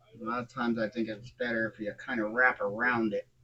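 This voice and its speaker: A man speaks quietly at a moderate pace in a medium pitch. His tone is bright and sharp. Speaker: scale model builder. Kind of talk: tutorial. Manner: casual, halting.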